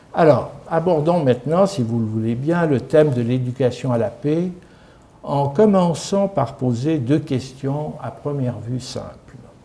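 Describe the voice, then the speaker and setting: Speaking at a very slow pace, a man has a fairly high pitch. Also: ordinary pitch variation. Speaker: lecturer, former senior civil servant. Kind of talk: lecture. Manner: calm, peaceful tone.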